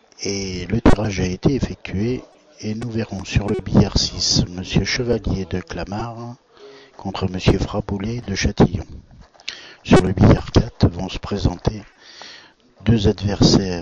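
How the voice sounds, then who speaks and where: A soft-spoken man talks at a very slow pace in a fairly low pitch with fairly even intonation. Long, frequent pauses, big swings in loudness and noticeable background noise mark the clip. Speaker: billiards commentator. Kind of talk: live commentary.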